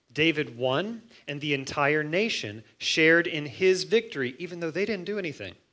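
A man with a fairly high pitch, lively intonation and a bright, sharp tone, at a fairly slow pace. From US Midwest, Missouri. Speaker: pastor. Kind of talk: sermon. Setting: church.

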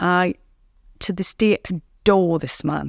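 A woman with an English accent, fairly low-pitched with vocal fry, at a very slow pace with ordinary pitch variation, on a very clean recording with a silent background and a dry, close sound with no echo. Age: 40s. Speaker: recovering addict. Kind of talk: testimony.

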